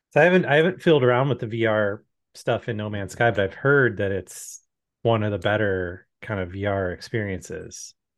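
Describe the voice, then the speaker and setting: Delivered at a fairly quick pace with ordinary pitch variation, this is an unremarkable speaking voice. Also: man, fairly low pitch for a man. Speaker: podcast co-host. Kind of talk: casual chat. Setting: video call.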